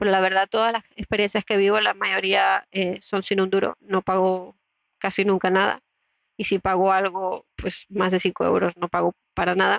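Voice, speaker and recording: At a moderate pace, the speech comes in a monotone, flat intonation with very even loudness. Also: woman, medium pitch for a woman. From Latin America. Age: 30s. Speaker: podcaster and entrepreneur. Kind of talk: solo podcast monologue.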